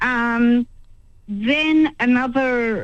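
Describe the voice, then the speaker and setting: A woman speaks with an Australian accent. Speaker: caller. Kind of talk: phone-in call to talkback radio. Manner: hesitant, many ums.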